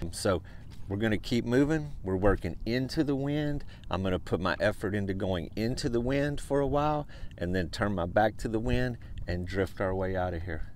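A man with an unremarkable speaking voice, fairly low in pitch, talks at a moderate pace with lively intonation, the sound dry with no echo over light background noise. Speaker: fishing guide. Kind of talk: outdoor tutorial commentary. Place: boat. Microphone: phone near.

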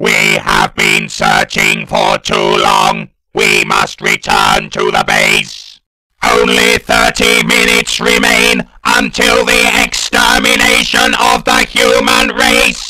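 A cartoonish character voice speaks fairly slowly at a fairly high pitch. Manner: shouted, staccato.

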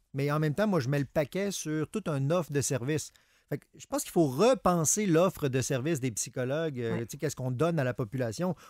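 Speaking at a very fast pace, a man has a fairly high pitch and ordinary pitch variation. His loudness swings a lot over a quiet background. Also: dry sound with no echo. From Quebec. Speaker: psychologist co-host. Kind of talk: radio call-in advice show. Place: studio.

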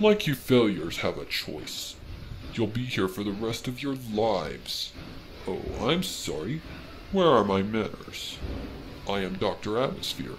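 The speaker moves at a fairly slow pace with long, frequent pauses against clear background noise. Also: man, medium pitch for a man. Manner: sneering, mock-courteous, gleeful.

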